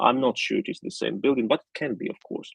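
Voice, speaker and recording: The speaker is a man. He has a Russian accent. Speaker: political analyst. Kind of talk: live stream commentary. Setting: live stream. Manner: halting, many repetitions and fillers.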